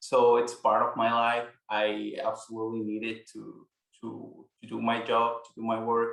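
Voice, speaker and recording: Monotone, flat intonation in a Mexican accent at a moderate pace, with big swings in loudness. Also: man, medium pitch for a man. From Mexico. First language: Spanish. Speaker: immigration paralegal. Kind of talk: interview. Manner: halting, repeats words.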